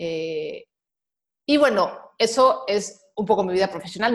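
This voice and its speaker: The voice belongs to a woman. It has a medium pitch. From Mexico. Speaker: personal finance advisor and podcaster. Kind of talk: casual interview conversation.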